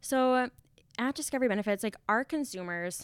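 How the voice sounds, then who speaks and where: In a very clean recording with a silent background, a woman speaks at a moderate pace with an Upper Midwest accent. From North Dakota. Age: 20s. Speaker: benefits company trainer. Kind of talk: interview.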